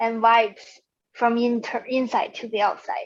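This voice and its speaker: A woman with a non-native accent, fairly high in pitch, in a monotone, flat delivery. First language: not English. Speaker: client. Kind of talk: coaching session. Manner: halting.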